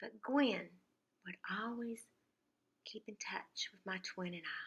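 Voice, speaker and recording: The voice has a warm tone and ordinary pitch variation, moving at a very slow pace. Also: woman, fairly high pitch for a woman. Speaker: lifestyle YouTuber. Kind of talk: casual talk to camera. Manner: warm, reflective.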